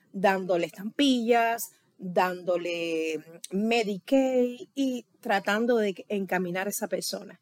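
Here is a woman with an unremarkable speaking voice. Her pitch varies in an ordinary way, in a dry, close sound with no echo. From Cuba. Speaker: Cuban immigrant interviewee. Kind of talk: interview. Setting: late-night recording.

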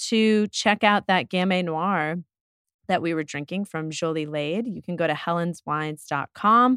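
Lively intonation marks a woman's ordinary speaking voice at medium pitch and a moderate pace. The sound is dry and close with no echo, in a very clean recording with a silent background. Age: 40s. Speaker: wine shop owner and podcast host. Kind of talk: casual chat. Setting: studio.

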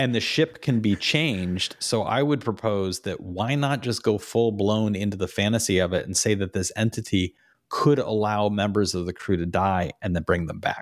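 Recorded very cleanly against a silent background, a man with an ordinary speaking voice talks at a moderate pace and fairly low pitch with ordinary pitch variation. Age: 50s. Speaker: podcast host and author. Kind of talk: casual chat.

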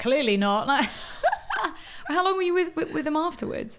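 A woman talks at a fairly slow pace in a high voice with a fairly bright tone and big pitch swings.

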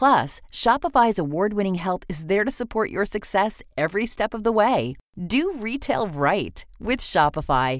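In a very clean recording with a silent background, a woman with vocal fry talks at a moderate pace with hardly any pauses, her medium pitch moving in very wide swings. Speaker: ad voiceover. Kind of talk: sales pitch.

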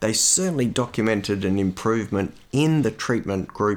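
With an Australian accent, a man talks at a moderate pace in a medium pitch and lively intonation, on a very clean recording with a silent background. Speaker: cardiologist and podcast host. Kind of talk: solo educational monologue. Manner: measured, conversational with filler words.

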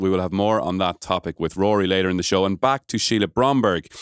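A man speaks with an Irish accent and ordinary pitch variation. The recording is very clean, against a silent background. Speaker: podcast host.

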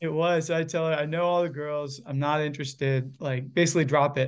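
A man with a Virginia accent, fairly high pitch, fairly even intonation and fairly quick pace, against a quiet background. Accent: American, Virginia. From Virginia, US. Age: 20s. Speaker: campus minister and church leader. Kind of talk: interview conversation.

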